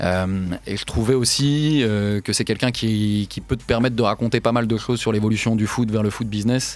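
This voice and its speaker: A normal speaking voice from a man, fairly low in pitch, fairly even in intonation, at a fairly quick pace, on a very clean recording with a silent background. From France. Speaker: investigative journalist and author. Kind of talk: interview. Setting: studio.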